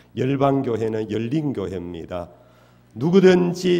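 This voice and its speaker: A man with a Daegu accent speaks at a very slow pace in a dark, mellow tone. His pitch swings very widely, with audible room echo. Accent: Daegu Gyeongsang dialect. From Daegu, South Korea (Gyeongsang). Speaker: pastor. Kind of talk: sermon. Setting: church. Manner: frequent filler hesitations.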